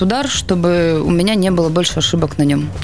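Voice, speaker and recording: Noticeable background noise and audible room echo surround the speaker. A woman talks at medium pitch and a moderate pace. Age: 20s. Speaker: billiards champion. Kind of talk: radio interview. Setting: radio studio.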